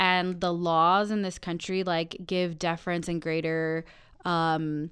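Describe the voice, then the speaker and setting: At a very slow pace, a speaker with a General American accent is heard in a very clean recording with a silent background. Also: woman. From Colorado, Denver area. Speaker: city council member. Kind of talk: casual chat. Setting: studio.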